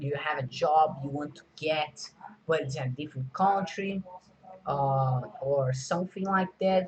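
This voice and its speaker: At a fairly slow pace, a man talks through noticeable background noise. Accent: Portuguese. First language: Portuguese. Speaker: video creator. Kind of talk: casual vlog talk. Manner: halting, many fillers.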